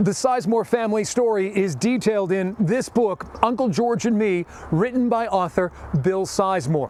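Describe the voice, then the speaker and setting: A man's high-pitched voice at a moderate pace, with ordinary pitch variation, very even loudness and noticeable background noise. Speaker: TV news reporter narrator. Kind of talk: TV news narration.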